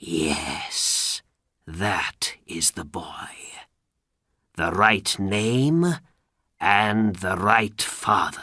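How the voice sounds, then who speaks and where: Using a put-on character voice, a man speaks quietly at a very slow pace, fairly low in pitch, with lively intonation and long, frequent pauses. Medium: read story. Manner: quiet, falsely warm.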